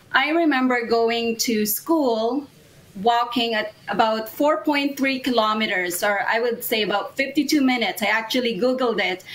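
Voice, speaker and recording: Noticeable background noise under a fairly high-pitched female voice. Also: ordinary pitch variation, moderate pace. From Philippines. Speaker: immigration consultant. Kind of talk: interview.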